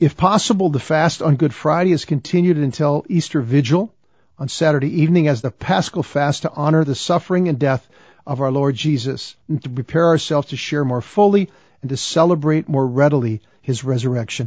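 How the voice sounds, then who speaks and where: A somewhat breathy man keeps up a fairly quick pace, his pitch varying in an ordinary way. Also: fairly high pitch for a man. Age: 60s. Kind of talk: religious teaching talk. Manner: earnest, conversational with repetitions.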